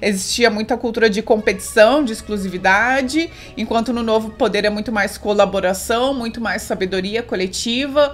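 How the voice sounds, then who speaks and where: Against faint music in the background, a woman talks at a moderate pace with hardly any pauses and ordinary pitch variation. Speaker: book reviewer. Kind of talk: casual vlog chat summarizing a book. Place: home room.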